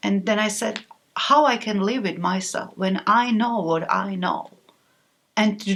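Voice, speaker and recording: A woman with a Slovak accent talks at a fairly slow pace in a fairly high pitch, with ordinary pitch variation. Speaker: author. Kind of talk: interview. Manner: halting.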